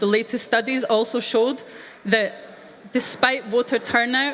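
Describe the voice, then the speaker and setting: Speaking with a Scottish accent, a woman has a fairly high voice. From Scotland. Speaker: youth event speaker. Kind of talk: speech to young audience.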